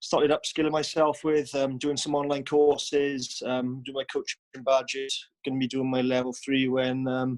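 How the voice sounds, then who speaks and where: A man with a Welsh accent talks at a moderate pace with hardly any pauses. His medium-pitched voice is monotone and flat. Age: 20s. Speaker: professional rugby player. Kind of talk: video call introduction.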